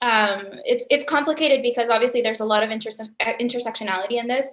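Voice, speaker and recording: A woman speaks in a Spanish accent. Her voice is high-pitched, with ordinary pitch variation. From Honduras. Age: young. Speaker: startup founder and CEO. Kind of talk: interview.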